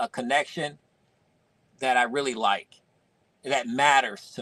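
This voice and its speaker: Lively intonation at a fairly slow pace, in a dry, close recording with no echo. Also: man. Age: 50s. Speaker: toy collector and video creator. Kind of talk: casual chat. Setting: live stream.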